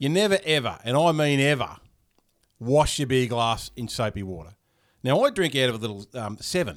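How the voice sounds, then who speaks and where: In a very clean recording with a silent background, a man at medium pitch talks at a moderate pace with lively intonation. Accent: Australian. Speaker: podcast host. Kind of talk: casual chat. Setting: studio. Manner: relaxed.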